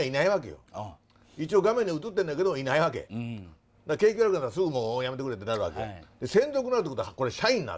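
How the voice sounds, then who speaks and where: The speaker is male. He talks very fast. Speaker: guest actor. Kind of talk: interview answer. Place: bar. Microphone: lapel.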